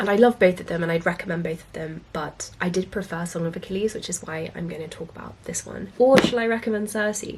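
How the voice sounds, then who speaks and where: A woman talks at a very fast pace with hardly any pauses and big swings in loudness over noticeable background noise. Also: medium pitch for a woman, ordinary pitch variation. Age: 20s. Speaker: book vlogger. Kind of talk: book recommendations vlog.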